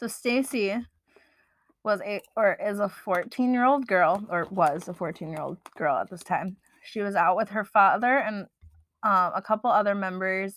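A woman with an unremarkable speaking voice speaks at a fairly slow pace and medium pitch with ordinary pitch variation, on a very clean recording with a silent background. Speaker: podcast co-host. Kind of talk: casual chat.

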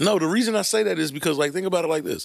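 His pitch sits high for a man. He talks with an American accent. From New York City (Brooklyn). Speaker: podcast co-host. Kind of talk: casual chat.

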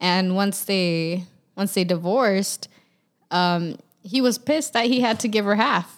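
Speaking at a fairly slow pace, a woman uses a plain, everyday voice with ordinary pitch variation. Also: medium pitch for a woman, very even loudness. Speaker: podcast co-host. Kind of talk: casual chat.

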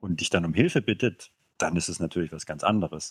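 A man talks at a moderate pace with a very deep, low pitch and fairly even intonation. The sound is dry and close, with no echo. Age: 30s. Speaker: podcast guest. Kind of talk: casual chat.

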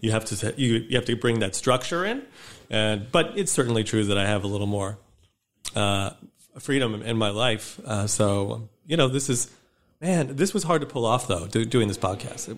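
Speaking with an American accent, a man with a plain, everyday voice talks at a moderate pace, his medium pitch showing ordinary variation. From northern Michigan, US Midwest. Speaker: podcast host and publisher. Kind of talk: casual interview chat.

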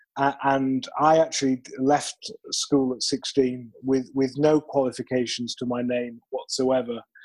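A man's medium-pitched voice in a British accent, fairly slow and monotone, with flat intonation. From United Kingdom. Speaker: sales trainer. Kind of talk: interview. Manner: halting, many repeated words.

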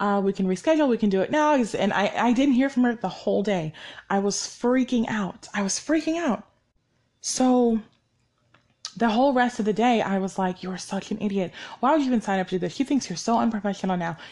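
Using a normal speaking voice, a woman talks fairly quickly at a fairly high pitch with lively intonation. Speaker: podcast host. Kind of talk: solo podcast monologue, casual. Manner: casual, conversational, fillers.

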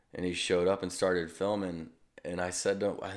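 A man with a Midwestern American accent speaks in a very deep, low pitch with monotone, flat intonation. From US Midwest, St. Louis, Missouri. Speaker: stunt motorcycle rider. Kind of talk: casual interview. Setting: video call.

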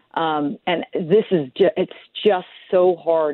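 With a normal speaking voice, a woman uses a fairly low pitch and ordinary pitch variation. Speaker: political commentator. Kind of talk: political roundtable discussion.

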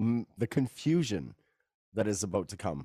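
On a very clean recording with a silent background, a normal speaking voice with a Canadian accent and lively intonation comes through dry and close with no echo. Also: man. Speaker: podcast host. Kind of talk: casual interview chat.

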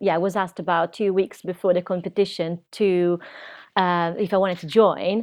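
A woman with an Italian accent at medium pitch, moderate pace and flat, monotone intonation. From Italy, Rimini. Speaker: burlesque performer. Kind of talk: interview. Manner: halting, many fillers.

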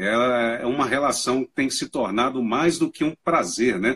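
A man with a normal speaking voice, medium in pitch, at a moderate pace, in a dry, close sound with no echo. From eastern Minas Gerais, Brazil. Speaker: university lecturer and mobile photographer. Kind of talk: live-stream interview. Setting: live stream call. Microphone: audio feedback issues with headphones.

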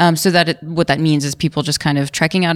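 A woman with an American accent and a very deep, low pitch speaks at a very fast pace with fairly even intonation. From New York City. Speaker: author and psychedelics researcher. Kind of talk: casual interview. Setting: at a conference in London.

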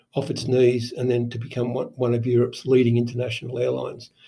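A man's somewhat breathy medium-pitched voice with a dark, mellow tone and an Australian accent. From Sydney, Australia. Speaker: procurement consultant. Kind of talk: interview.

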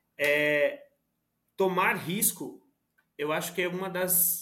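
This man has a high voice. His pitch moves with ordinary variation. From Brazil, Suzano, greater São Paulo. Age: 20s. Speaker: product manager. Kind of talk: casual interview chat.

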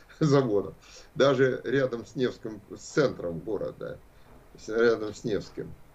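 Somewhat breathy, this man's voice holds a medium pitch. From Russia, Saint Petersburg. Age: 70s. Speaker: philosophy professor. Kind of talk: lecture.

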